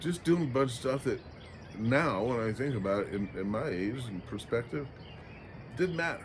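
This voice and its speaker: Somewhat breathy, a man speaks at a medium pitch. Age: 60s. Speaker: vlogger. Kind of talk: casual reflective monologue. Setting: outdoors at sunrise by the ocean. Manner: halting, frequent fillers.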